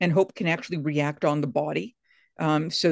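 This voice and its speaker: A very deep, low-pitched woman's voice with ordinary pitch variation, in a dry, close sound with no echo and a quiet background. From Massachusetts Atlantic coast. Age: 60s. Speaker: biblical scholar and author. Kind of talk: interview.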